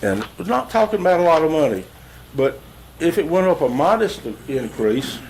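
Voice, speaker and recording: Noticeable background noise sits behind a man with a Southern US accent whose pitch is fairly high. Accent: Southern US (Georgia). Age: 70s. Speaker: resident speaking at public comment. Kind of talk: public comment at county meeting. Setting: county commission meeting room. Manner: halting.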